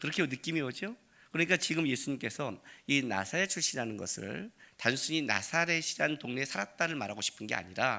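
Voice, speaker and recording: On a very clean recording with a silent background, a man talks very fast in a bright, sharp tone, his fairly high pitch making very wide swings. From Seoul, South Korea. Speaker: pastor. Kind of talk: sermon. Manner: conversational, with frequent fillers.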